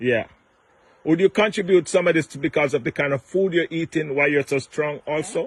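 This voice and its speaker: An ordinary speaking voice with ordinary pitch variation comes through in a dry, close sound with no echo and a quiet background. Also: man, fairly high pitch for a man, fairly quick pace. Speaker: interviewer. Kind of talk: casual interview questions.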